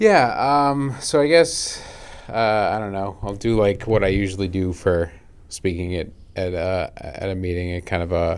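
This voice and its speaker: A man's fairly low voice in an American accent, with lively intonation at a moderate pace. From South Shore, Massachusetts. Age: 30s. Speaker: person in addiction recovery. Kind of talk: casual interview, recovery story. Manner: halting, many fillers.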